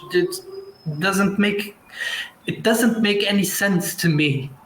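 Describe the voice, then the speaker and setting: A man talks with a Portuguese accent and ordinary pitch variation. Room echo is audible. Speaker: actor and director. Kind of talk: online panel discussion. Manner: halting, many repetitions and restarts.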